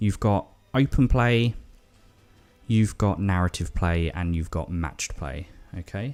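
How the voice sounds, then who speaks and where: Speaking at a very deep, low pitch, a man talks at a fairly slow pace with lively intonation and long, frequent pauses in a very clean recording with a silent background. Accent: English. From England. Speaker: tabletop gaming YouTuber. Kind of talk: casual product walkthrough. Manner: chatty, informal.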